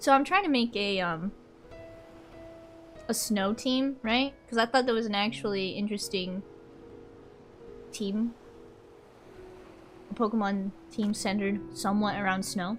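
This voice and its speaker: Speech at a fairly slow pace with ordinary pitch variation and long, frequent pauses plays over music in the background. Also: woman, medium pitch for a woman. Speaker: vtuber streamer. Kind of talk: casual chat. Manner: animated.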